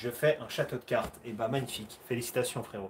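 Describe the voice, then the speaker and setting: A man is speaking. His voice is somewhat breathy. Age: 30s. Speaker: karate athlete and livestream host. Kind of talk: livestream Q&A chat. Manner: animated.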